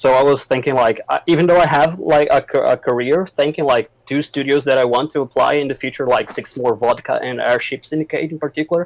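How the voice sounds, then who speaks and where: The sound is dry and close, with no echo. Speech runs with hardly any pauses and fairly even intonation. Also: man, fairly high pitch for a man. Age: 20s. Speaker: aspiring game artist, former game developer. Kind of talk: casual chat. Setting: voice chat. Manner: halting.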